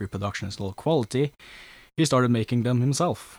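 Here a man speaks with a Norwegian accent and ordinary pitch variation. The recording is very clean, with a silent background and a dry, close sound with no echo. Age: young. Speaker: historical reenactor. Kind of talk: interview.

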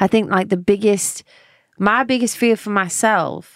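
A woman speaks with ordinary pitch variation. The recording is very clean, dry and close, with a silent background and no echo. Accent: London. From London, England. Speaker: singer-songwriter. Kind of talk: casual interview chat.

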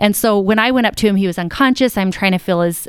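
On a very clean recording with a silent background and a dry, close sound with no echo, a woman uses a plain, everyday voice at medium pitch, with ordinary pitch variation and a fairly quick pace. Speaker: business founder and plane crash survivor. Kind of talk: casual interview. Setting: in-person studio.

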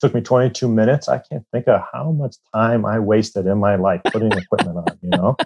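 A man's normal speaking voice, medium in pitch with ordinary pitch variation, at a fairly quick pace with hardly any pauses, in a dry, close sound with no echo. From Iowa, US Midwest. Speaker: goaltending coach, former pro hockey goalie. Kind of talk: interview.

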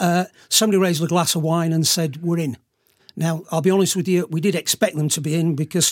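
A man speaks in a British accent with a high pitch and fairly even intonation. The pace is moderate, and the sound is dry and close with no echo. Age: 50s. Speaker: investment platform founder. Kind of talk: interview.

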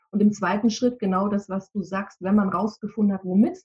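A somewhat breathy woman's voice at medium pitch, fairly quick in pace, with a slight Bavarian accent. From Munich, Bavaria. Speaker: decision-making coach. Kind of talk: interview.

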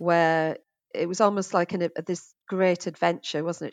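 A woman's monotone, flat voice in a British accent, fairly low-pitched, with a dry, close sound with no echo and a quiet background. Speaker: hotel general manager. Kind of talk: casual interview chat.

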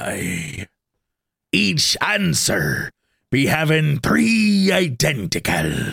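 Put-on character voice from a man, raspy and at medium pitch, with very wide pitch swings and a very slow pace. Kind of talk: pirate talk. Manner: theatrical, read aloud.

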